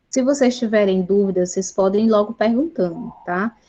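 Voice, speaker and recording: Her voice is a normal speaking voice, a woman's at a fairly high pitch with ordinary pitch variation. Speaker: chemistry teacher. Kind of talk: online Q&A session with students.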